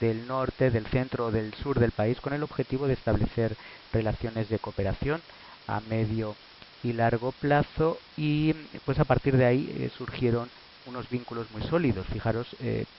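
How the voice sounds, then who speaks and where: A man speaks at medium pitch and a moderate pace, with fairly even intonation. Noticeable background noise is present. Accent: Madrid. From Spain, Madrid. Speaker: professor. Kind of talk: lecture. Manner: halting, many filler sounds.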